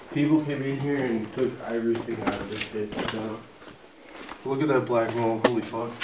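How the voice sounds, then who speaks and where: Noticeable noise behind a man talking at a fairly slow pace. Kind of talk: casual vlog chat. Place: hall. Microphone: phone near.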